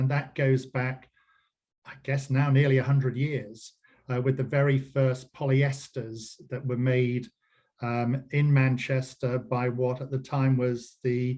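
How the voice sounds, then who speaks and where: With an English accent, a man speaks at a fairly slow pace in a monotone, flat way. His tone is dark and mellow, and somewhat breathy. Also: medium pitch for a man. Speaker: company CEO. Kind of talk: business interview. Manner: hesitant, many fillers.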